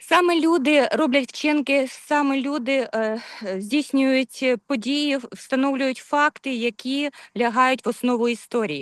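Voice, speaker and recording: A woman with a Ukrainian accent, high-pitched and fairly slow, her pitch varying in an ordinary way, in a dry, close sound with no echo. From Ukraine. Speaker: webinar attendee. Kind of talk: audience question. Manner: halting.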